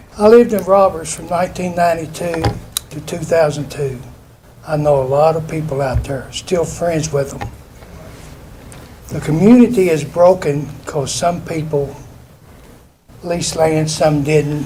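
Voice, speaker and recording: A man with an American accent, fairly high in pitch with ordinary variation, fairly slow and full of long, frequent pauses, his loudness swinging widely, with audible room echo and noticeable background noise. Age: 70s. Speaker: retired factory worker speaking at public hearing. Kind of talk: public comment at planning meeting.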